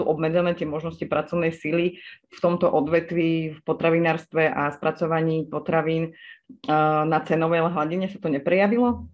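This woman has an ordinary speaking voice pitched fairly low. She talks at a moderate pace. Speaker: podcast host. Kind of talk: interview.

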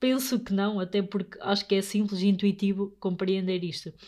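With a dark, mellow tone, a woman speaks at medium pitch and a moderate pace. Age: 20s. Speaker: podcast host, young investor. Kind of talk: solo podcast monologue. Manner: halting, many fillers.

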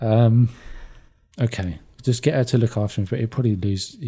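A man speaks at a fairly quick pace with a somewhat breathy voice. He leaves long, frequent pauses. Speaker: podcast co-host. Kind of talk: casual chat.

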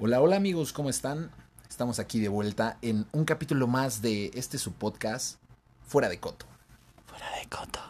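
Using an ordinary speaking voice, a man of medium pitch talks at a moderate pace with lively intonation. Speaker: podcast co-host. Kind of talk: casual chat.

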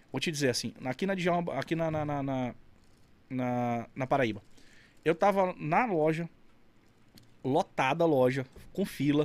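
Pitched fairly high, a man speaks at a fairly slow pace with long, frequent pauses, on a very clean recording with a silent background. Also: ordinary pitch variation. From Amazonas, Brazil (Carauari). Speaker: burger restaurant owner. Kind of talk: casual chat. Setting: studio.

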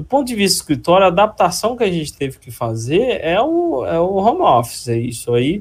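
With a Minas Gerais accent, a man talks at a fairly quick pace with hardly any pauses. His pitch is high and swings very widely. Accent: mineiro. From Minas Gerais, Brazil (Ipatinga region). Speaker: structural engineer and lecturer. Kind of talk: interview.

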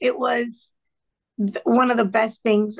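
A woman's raspy, fairly bright voice with fairly high pitch

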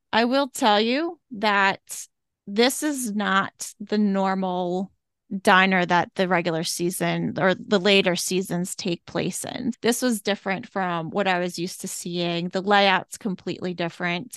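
At a fairly slow pace, a woman speaks in an ordinary speaking voice at a medium pitch with ordinary pitch variation over a quiet background. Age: 40s. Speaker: podcast co-host. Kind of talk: casual chat.

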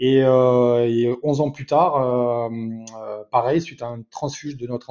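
The intonation stays fairly even. It is an ordinary speaking voice. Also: man. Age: 40s. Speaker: software sales director. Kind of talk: interview.

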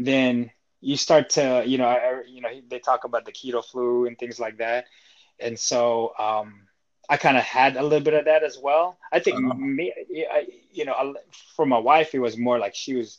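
Moderate in pace, this man's speech sits at a medium pitch. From Seattle, born in the Philippines. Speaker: fitness coach and trainer. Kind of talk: interview.

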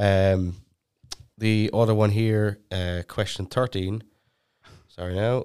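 A man with an Irish accent speaks at a very slow pace with long, frequent pauses. His pitch is fairly low and his intonation monotone and flat. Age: 20s. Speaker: podcast co-host. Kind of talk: casual chat. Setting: studio.

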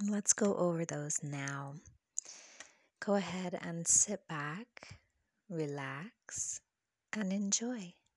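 The voice moves at a very slow pace in a soothing, calm tone, with long, frequent pauses. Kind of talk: guided meditation affirmations. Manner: soothing, slow, calm.

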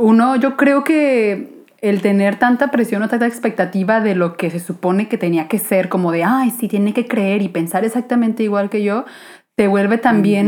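A woman speaks in an ordinary speaking voice at a moderate pace, her fairly high pitch showing ordinary variation. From Guadalajara, Mexico. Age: 20s. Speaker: illustrator and podcaster. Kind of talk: casual chat.

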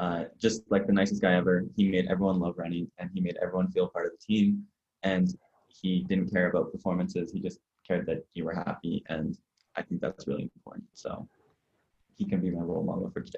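This man talks at a fairly quick pace with a Canadian accent. The sound is dry and close, with no echo. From Canada (Ottawa, Ontario). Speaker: college athlete. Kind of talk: casual interview. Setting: remote call. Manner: halting, many fillers and repeats.

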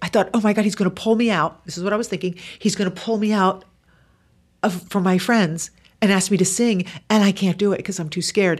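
An ordinary speaking voice with fairly even intonation, captured in a very clean recording against a silent background. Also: woman, medium pitch for a woman. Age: 50s. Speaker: author. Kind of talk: casual chat.

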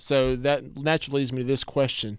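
A man's medium-pitched voice in a Southern US accent at a fairly quick pace, on a very clean recording with a silent background. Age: 20s. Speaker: podcast host. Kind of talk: casual chat.

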